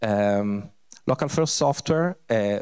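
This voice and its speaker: A man speaks against a quiet background. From Italy. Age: 50s. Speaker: tech speaker; speaker. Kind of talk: conference talk. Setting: stage with audience. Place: hall.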